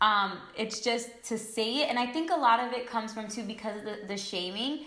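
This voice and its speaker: Speaking in a New York accent at a moderate pace, a woman shows ordinary pitch variation amid noticeable background noise and audible room echo. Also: fairly high pitch for a woman. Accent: New York American English. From New York, US. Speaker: beauty influencer. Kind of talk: casual chat.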